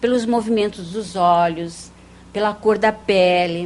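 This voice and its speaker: Delivered very slowly, the speech has ordinary pitch variation. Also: woman. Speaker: parapsychologist and hypnotherapist. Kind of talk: TV interview. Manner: soft-spoken.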